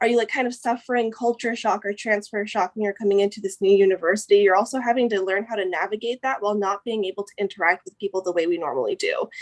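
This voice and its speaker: A woman talks at a very fast pace with hardly any pauses. The sound is dry and close, with no echo. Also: medium pitch for a woman, ordinary pitch variation, big swings in loudness. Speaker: university transfer student. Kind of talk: casual chat.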